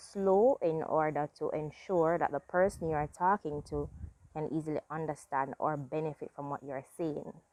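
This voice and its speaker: A woman speaks with a very deep, low pitch and ordinary pitch variation. The sound is dry and close, with no echo. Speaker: YouTuber giving self-improvement advice. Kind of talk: casual vlog talk. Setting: outdoors in front yard garden.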